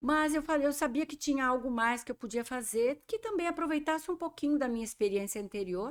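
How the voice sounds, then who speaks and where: A woman with a Brazilian accent talks at a moderate pace. The recording is very clean, with a silent background. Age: 60s. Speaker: professional organizer and show host. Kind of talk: interview chat.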